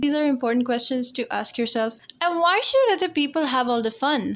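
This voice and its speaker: Noticeable background noise sits behind a woman who speaks with ordinary pitch variation. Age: 20s. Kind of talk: casual talk to camera. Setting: low-quality headset-style mic.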